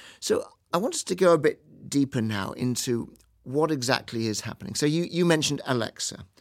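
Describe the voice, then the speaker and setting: With lively intonation and a fairly high pitch, a man talks at a fairly quick pace in a normal speaking voice. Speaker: business school professor and podcast host. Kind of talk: moderated panel discussion.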